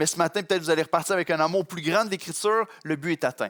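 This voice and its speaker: The speaker is a man with a high pitch. His sound is dry and close, with no echo. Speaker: pastor. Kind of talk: sermon. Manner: fast in places.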